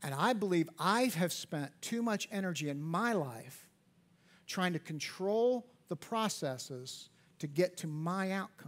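Lively intonation marks this man's high-pitched voice. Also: fairly slow pace. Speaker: pastor. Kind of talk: church sermon. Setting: church auditorium. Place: church.

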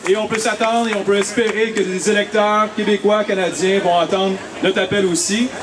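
Against noticeable background noise, a man with a high voice speaks at a fairly quick pace and with fairly even intonation. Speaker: rally emcee. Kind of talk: bilingual event announcements. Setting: outdoor rally with audience. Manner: switches between French and English. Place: street. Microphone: handheld.

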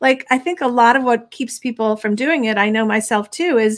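A woman with a high pitch talks at a fairly quick pace over a quiet background. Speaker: parenting magazine host. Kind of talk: interview. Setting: live stream. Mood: earnest, reflective. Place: home room.

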